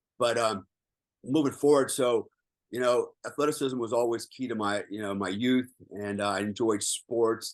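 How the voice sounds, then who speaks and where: Medium pitch and ordinary pitch variation in a man's voice. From American, raised in Germany on US bases. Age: 60s. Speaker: military veteran. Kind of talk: podcast interview. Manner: animated.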